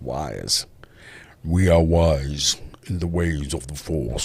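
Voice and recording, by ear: A man's put-on character voice, very deep and low, at a very slow pace.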